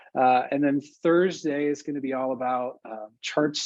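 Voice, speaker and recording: Intonation stays fairly even here. The voice is a man's. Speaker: workshop instructor. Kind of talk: online training session. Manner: fast.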